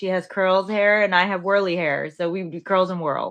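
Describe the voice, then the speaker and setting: A woman with an American accent speaks at a medium pitch in a bright, sharp tone against a quiet background. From New York. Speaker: professional wrestler. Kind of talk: interview. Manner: casual, friendly.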